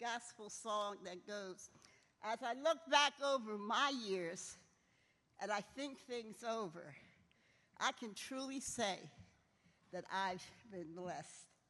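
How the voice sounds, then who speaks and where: A woman's fairly high voice with lively intonation and an American accent, at a very slow pace. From Philadelphia. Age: 80s+. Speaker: retired basketball coach, hall of fame inductee. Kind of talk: acceptance speech.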